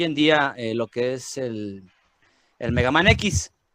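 A man's voice, dry and close, with no echo. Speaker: podcast host. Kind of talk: casual chat. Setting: studio.

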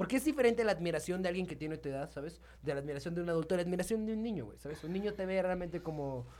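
Talking at a very fast pace with hardly any pauses, a man uses lively intonation and a high pitch. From Mexico, San Luis Potosí. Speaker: freestyle rapper. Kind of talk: casual chat. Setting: studio.

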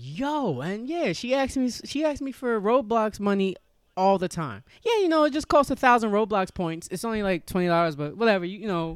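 In a very clean recording with a silent background, a man with a New York accent talks at a fairly quick pace, his high pitch making very wide swings. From New York (Yonkers). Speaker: comedian. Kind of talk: casual chat.

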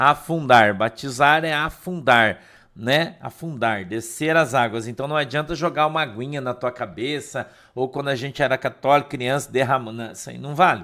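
Heard on a very clean recording with a silent background, a man speaks at a medium pitch with a bright, sharp tone. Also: ordinary pitch variation, moderate pace, big swings in loudness. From Curitiba, southern Brazil. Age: 50s. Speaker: pastor. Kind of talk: casual devotional livestream talk. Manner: halting, repeats words.

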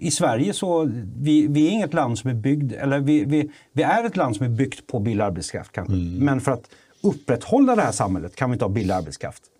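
A man at medium pitch with a dark, mellow tone, very wide pitch swings and a fairly quick pace, in a very clean recording with a silent background. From Sweden, Kalmar. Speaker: photographer and filmmaker. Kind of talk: casual political chat.

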